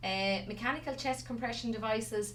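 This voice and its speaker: Talking at a fairly quick pace in a Wexford accent, a woman is heard with audible room echo and noticeable background noise. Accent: Wexford Irish. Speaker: resuscitation instructor. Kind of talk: lecture. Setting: stage with audience, streamed to remote centres. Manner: fast.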